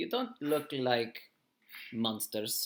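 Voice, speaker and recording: A man's gruff, put-on character voice at a medium pitch. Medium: actual play. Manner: gruff, blunt, broken English.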